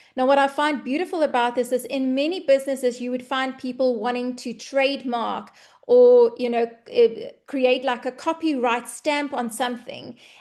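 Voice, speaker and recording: A woman's high-pitched voice at a moderate pace, with hardly any pauses, fairly even intonation and a quiet background. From South Africa. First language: Afrikaans. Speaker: online business presenter. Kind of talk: webinar sales presentation.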